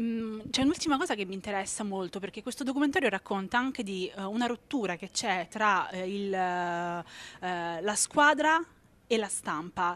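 A woman with an ordinary speaking voice, medium in pitch, lively in intonation, at a moderate pace. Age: 30s. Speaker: interviewer. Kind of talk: interview. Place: hall.

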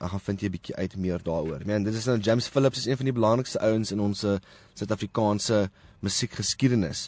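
Against a quiet background, a man with a fairly low pitch talks at a very fast pace with ordinary pitch variation, the sound dry and close with no echo. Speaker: podcast host. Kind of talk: casual podcast monologue. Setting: in a car in a parking lot.

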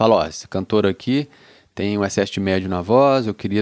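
The background is quiet as a man talks in a fairly low register, his pitch shifting normally. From Brazil. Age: 30s. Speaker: music producer. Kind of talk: casual chat. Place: studio. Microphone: handheld.

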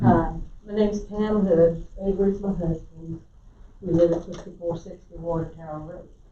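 In an American accent, the speaker keeps a moderate pace and fairly even intonation, with big swings in loudness and audible room echo. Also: woman, fairly low pitch for a woman. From South Carolina. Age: 70s. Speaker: resident commenter. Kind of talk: public comment at council meeting. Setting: county council meeting.

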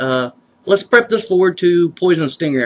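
Lively intonation at a moderate pace. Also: man. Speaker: YouTuber entering a contest. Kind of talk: casual vlog chat. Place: home room.

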